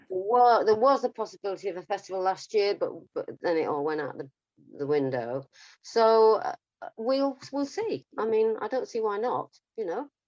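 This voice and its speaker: A woman with an English accent speaks at a moderate pace and a fairly high pitch, her pitch swinging very widely. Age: 70s. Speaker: singer. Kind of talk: casual interview. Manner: halting.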